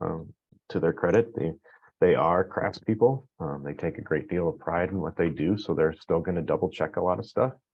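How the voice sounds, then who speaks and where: A man's very deep, low voice with lively intonation at a moderate pace. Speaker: construction technology leader presenting survey results. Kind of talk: webinar presentation. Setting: online webinar. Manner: many filler words, hesitant.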